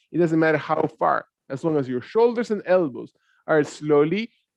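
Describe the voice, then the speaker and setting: Fairly high in pitch for a man, this man talks at a fairly quick pace with lively intonation. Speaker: yoga instructor. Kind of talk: guided yoga class. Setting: online class via computer. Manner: loud.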